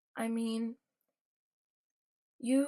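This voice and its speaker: A woman speaks with a high pitch. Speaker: vlogger. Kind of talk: personal vlog monologue. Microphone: poor audio quality.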